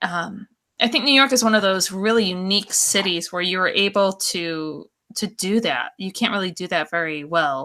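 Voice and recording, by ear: Speaking at a moderate pace, a woman uses a fairly low pitch, ordinary pitch variation and a bright, sharp tone.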